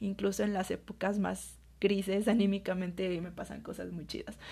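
Over a quiet background, a woman with a central Mexican accent speaks at a moderate pace. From Mexico, Aguascalientes. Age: 20s. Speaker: podcaster. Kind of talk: casual monologue. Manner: chatty, informal.

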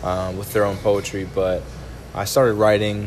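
A man's fairly low voice at a moderate pace, with fairly even intonation, audible room echo and noticeable background noise. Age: 20s. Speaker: spoken word poet. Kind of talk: casual chat.

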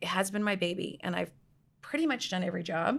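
In a very clean recording with a silent background, a woman with an ordinary speaking voice talks at a fairly quick pace. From Canada, outside Toronto. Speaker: tech company CEO and co-founder. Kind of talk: interview.

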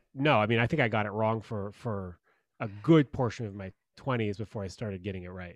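A man with a plain, everyday voice talks at a fairly low pitch and a fairly quick pace with ordinary pitch variation, the sound dry and close with no echo against a quiet background. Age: 30s. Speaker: love coach. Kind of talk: casual chat.

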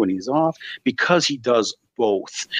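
A man speaks with lively intonation and vocal fry. The sound is dry and close with no echo, over a quiet background. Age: 40s. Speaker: podcast host and video producer. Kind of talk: casual interview chat. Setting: video call.

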